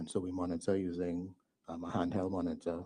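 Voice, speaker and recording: A soft-spoken man with a very deep, low pitch and a dark, mellow tone. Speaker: witness at a public enquiry. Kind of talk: testimony under questioning.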